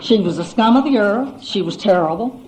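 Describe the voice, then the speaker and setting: Amid noticeable background noise and audible room echo, a woman talks at a fairly quick pace with very wide pitch swings. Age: 70s. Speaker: AA speaker. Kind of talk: testimony.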